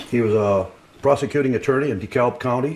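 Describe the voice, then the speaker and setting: The speaker has a Midwestern American accent. Delivery is very fast, with ordinary pitch variation. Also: man. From Bristol, Indiana. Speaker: local history speaker, former newspaper worker. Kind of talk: talk at a history society meeting. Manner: casual, hesitant.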